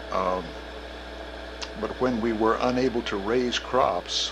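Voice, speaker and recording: In an American accent, a man speaks at medium pitch and a very slow pace with fairly even intonation. Noticeable background noise and audible room echo are present. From Kansas, US Midwest. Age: 60s. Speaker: retired professor. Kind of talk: oral history interview. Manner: hesitant, with many fillers.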